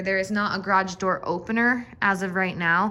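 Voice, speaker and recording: A woman at medium pitch amid noticeable background noise. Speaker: real estate agent. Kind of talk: property walkthrough tour. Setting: walking through a house, partly outdoors.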